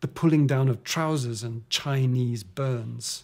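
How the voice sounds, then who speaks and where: A man speaks at a moderate pace in a medium pitch. His intonation stays fairly even and his voice is somewhat breathy. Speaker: author. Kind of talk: audiobook reading.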